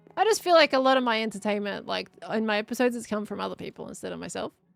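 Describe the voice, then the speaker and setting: Music plays in the background. A woman speaks at a fairly high pitch. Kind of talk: casual, conversational.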